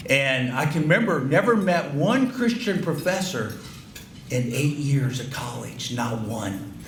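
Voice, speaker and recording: A man's medium-pitched voice in an American accent, with audible room echo and noticeable background noise. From Ohio, US Midwest. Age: 60s. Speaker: banquet keynote speaker. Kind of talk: speech to banquet audience. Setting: banquet hall with audience. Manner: halting, repetitive.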